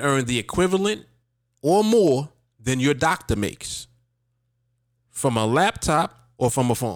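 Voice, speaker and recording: On a very clean recording with a silent background, the voice moves at a moderate pace in an animated tone with very wide pitch swings. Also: man. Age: 40s. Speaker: podcast host and trader. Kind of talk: casual livestream monologue.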